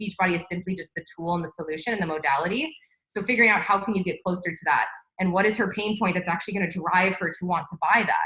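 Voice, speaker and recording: A woman speaks at a very fast pace. Her pitch is medium and varies in an ordinary way. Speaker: marketing trainer. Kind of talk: live online training. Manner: animated.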